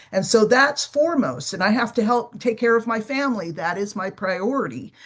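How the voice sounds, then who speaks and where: The woman has a normal speaking voice with a fairly high pitch. She talks fairly quickly, her intonation lively. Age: 60s. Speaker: business owner living with type 2 diabetes. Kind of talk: podcast interview.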